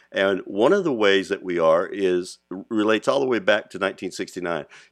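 At a moderate pace, a man uses a normal speaking voice, fairly low in pitch with lively intonation, over a quiet background. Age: 60s. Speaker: podcast host. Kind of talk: monologue.

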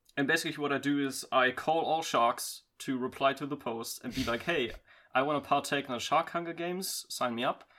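Fairly quick speech with a bright, sharp tone and fairly even intonation comes through on a very clean recording with a silent background. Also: man, fairly high pitch for a man. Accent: German. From Germany. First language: German. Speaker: podcast guest, hobby voice actor. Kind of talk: casual chat.

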